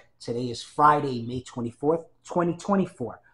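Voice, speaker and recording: A man talks at a moderate pace in an ordinary speaking voice. His pitch shows ordinary variation. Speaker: research librarian and archivist. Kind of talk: interview questions. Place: home room.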